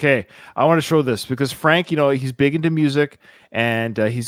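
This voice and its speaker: An ordinary speaking voice belongs to a man with a Canadian accent and a medium pitch. He talks at a fairly quick pace with fairly even intonation in a very clean recording with a silent background. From Canada. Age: 40s. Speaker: podcast host. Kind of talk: casual chat.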